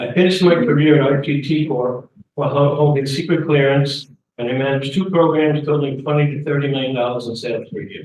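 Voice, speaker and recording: Very fast speech comes in a New York accent. The intonation stays fairly even. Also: man, fairly high pitch for a man. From New York, Queens and Long Island. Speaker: community board candidate. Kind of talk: campaign speech. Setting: community meeting with audience.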